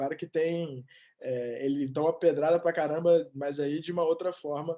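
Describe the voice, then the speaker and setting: Fairly high pitch for a man, with an Espírito Santo accent, a dark, mellow tone, ordinary pitch variation, and a moderate pace. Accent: capixaba (Espírito Santo). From Brazil, Espírito Santo (Vitória). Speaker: sports reporter. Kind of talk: interview. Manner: halting.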